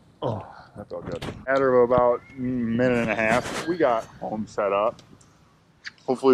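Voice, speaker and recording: A man's voice amid noticeable background noise. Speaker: fishing vlogger. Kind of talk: casual vlog narration. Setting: outdoors, on a boat.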